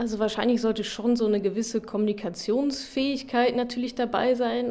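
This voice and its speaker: Noticeable noise sits behind a woman who speaks fairly quickly. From Ruhr area, Germany. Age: 30s. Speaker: finance blogger. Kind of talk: interview.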